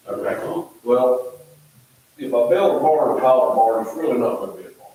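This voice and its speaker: The speaker has an American accent and keeps a moderate pace. Audible room echo surrounds the voice. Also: man. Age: 60s. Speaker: contractor addressing planning commission. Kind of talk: public comment at town meeting. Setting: town planning commission meeting. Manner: halting, repeats words.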